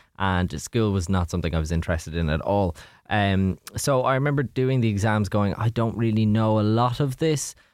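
With an Irish accent, a man with a fairly low pitch speaks at a fairly quick pace with lively intonation and very even loudness, in a very clean recording with a silent background. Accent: Irish (Louth). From Ireland, Drogheda (County Louth). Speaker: radio DJ. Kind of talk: casual chat. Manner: animated.

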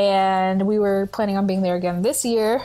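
At a fairly quick pace, this is an ordinary speaking voice with an American accent and fairly even intonation. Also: woman. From US South, Memphis, Tennessee. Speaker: theater director and festival producer. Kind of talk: casual interview.

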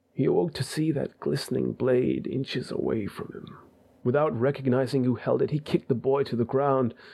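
An unforced reading voice, pitch varying in an ordinary way

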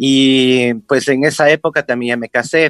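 In a dry, close sound with no echo, a man with an ordinary speaking voice talks at a medium pitch with ordinary pitch variation. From Ecuador, Quito. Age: 50s. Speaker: clown and teacher. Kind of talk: interview.

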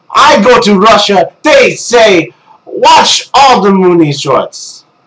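A man shouts very slowly in a put-on character voice at an extremely high pitch. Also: very even loudness. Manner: mocking, exaggerated.

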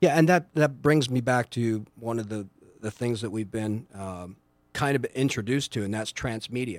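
A man talks at a moderate pace in a medium pitch with ordinary pitch variation. He has a normal speaking voice. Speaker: entrepreneur. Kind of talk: casual interview chat.

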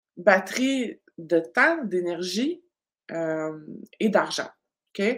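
Speaking at a very slow pace with a Quebec accent, a woman uses a medium pitch that moves in very wide swings. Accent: Québécois French. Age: 40s. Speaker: business coach. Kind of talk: live online masterclass. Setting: live stream. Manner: animated.

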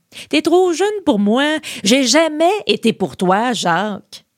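Across very wide pitch swings, a woman talks very slowly in a very clean recording with a silent background and a dry, close sound with no echo. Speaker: podcast host. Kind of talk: scripted narration with humor. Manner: animated, humorous.

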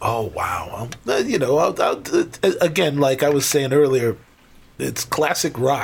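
A man with an American accent speaks at a fairly high pitch and a fairly slow pace. His intonation is lively, and there is noticeable background noise. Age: 50s. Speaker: professional drummer. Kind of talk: casual interview chat.

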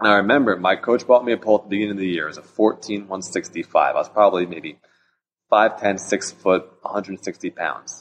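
This man has an ordinary speaking voice, talking at a moderate pace with fairly even intonation. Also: fairly low pitch for a man. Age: 30s. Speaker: pole vaulter. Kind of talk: casual chat.

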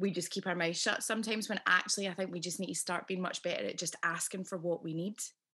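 At a very fast pace with hardly any pauses, a woman with a Scottish accent speaks in a bright, sharp tone, her medium pitch held in fairly even intonation. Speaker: podcast host and actress. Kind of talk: casual interview chat. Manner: warm and chatty.

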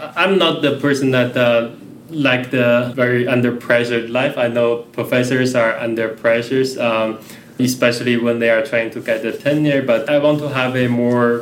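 Talking at a moderate pace, a man with a Chinese accent keeps a medium pitch. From China. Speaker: researcher and lecturer. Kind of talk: casual chat.

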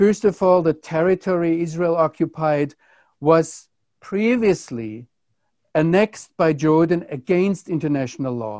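Speaking with a German accent at a fairly slow pace, a man uses a high pitch and lively intonation, his dark, mellow tone dry and close with no echo against a quiet background. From Germany. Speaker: Bible teacher, theologian and journalist. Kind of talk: interviewer asking questions.

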